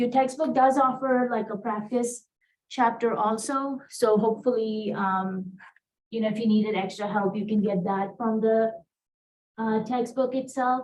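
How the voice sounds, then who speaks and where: An American accent at a moderate pace, with fairly even intonation and audible room echo. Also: woman, fairly high pitch for a woman. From India. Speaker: college math instructor. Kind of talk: lecture. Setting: classroom with students. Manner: casual with many fillers.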